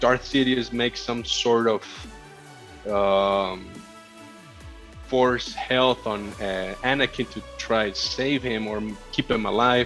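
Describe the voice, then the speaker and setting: Music plays in the background as a man speaks. His pace is very slow and his intonation fairly even. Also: medium pitch for a man. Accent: Spanish. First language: Spanish. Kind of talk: casual podcast conversation.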